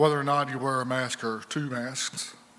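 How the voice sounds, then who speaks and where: Room echo is audible, along with noticeable background noise. A man speaks at a moderate pace and medium pitch. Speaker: Bible class teacher. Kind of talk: church class talk. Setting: church room with group, no microphone. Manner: halting with many fillers; loud, straining to be heard. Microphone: no microphone, hard to hear.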